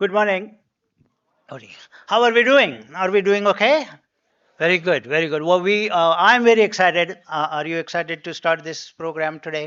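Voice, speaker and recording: At a moderate pace, a man speaks in a high voice with ordinary pitch variation. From India (Pune). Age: 70s. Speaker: economics professor. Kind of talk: welcome address. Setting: conference hall with audience. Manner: halting, many fillers.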